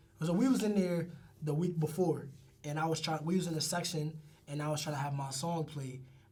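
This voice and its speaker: Talking at a fairly quick pace, a man with a fairly high pitch is heard through noticeable background noise and audible room echo. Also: ordinary pitch variation. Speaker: rapper. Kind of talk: casual interview chat. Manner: animated.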